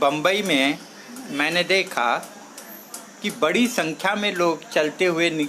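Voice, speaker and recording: Amid noticeable background noise, a high-pitched man talks with long, frequent pauses. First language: Marathi (speaking Hindi). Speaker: social activist speaker.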